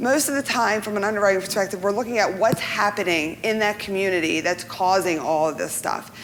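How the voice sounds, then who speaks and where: Lively intonation and a fairly quick pace come through over noticeable background noise. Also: woman. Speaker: insurance professional panelist. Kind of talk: seminar presentation. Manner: fast.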